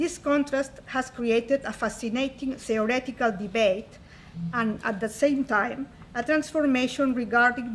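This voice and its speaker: Speaking in a Spanish accent, a woman with a high pitch keeps a fairly even intonation at a fairly slow pace. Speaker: conference presenter. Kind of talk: academic conference talk. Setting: conference stage with audience. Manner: formal.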